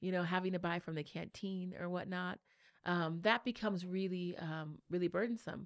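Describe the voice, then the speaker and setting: In a very clean recording with a silent background, a woman speaks at a moderate pace in a plain, everyday voice, her medium pitch held in fairly even intonation. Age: 30s. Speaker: state legislator. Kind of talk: interview. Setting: studio.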